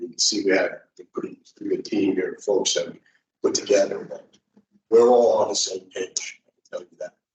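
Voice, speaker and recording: Speaking at a moderate pace with an extremely high pitch, a man swings very widely in pitch and shows big shifts in loudness. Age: 60s. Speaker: condominium board candidate. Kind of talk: campaign speech. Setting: public library meeting.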